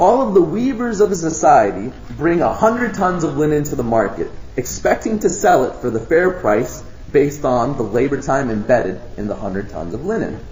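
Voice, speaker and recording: Amid noticeable background noise and audible room echo, a man talks at a fairly quick pace and fairly high pitch with very wide pitch swings. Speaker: lecturer presenting at a conference. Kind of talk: lecture. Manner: fast.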